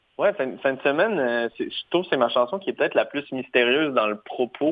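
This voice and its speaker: At a moderate pace, a man with an unremarkable speaking voice speaks in a medium pitch. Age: 20s. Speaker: singer-songwriter. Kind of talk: interview.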